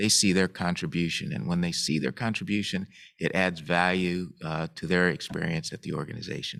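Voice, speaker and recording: On a very clean recording with a silent background, a man speaks at a very deep, low pitch. He keeps a moderate pace and fairly even intonation. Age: 60s. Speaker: transit agency engineering executive, panelist. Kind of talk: panel discussion. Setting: live event at a museum, streamed. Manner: halting, many fillers.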